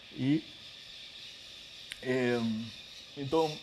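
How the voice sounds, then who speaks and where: There is audible room echo. The speaker is a man. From Peru, Lima. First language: Spanish (speaking Portuguese). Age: 50s. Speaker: author and literature scholar. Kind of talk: lecture. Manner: halting, many fillers.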